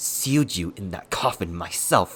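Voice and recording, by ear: A man's strained, whispered, put-on character voice at a fairly slow pace, with music in the background.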